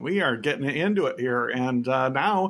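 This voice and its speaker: An ordinary speaking voice with ordinary pitch variation carries the clip. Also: man. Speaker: podcast co-host. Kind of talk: casual interview. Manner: warm, encouraging.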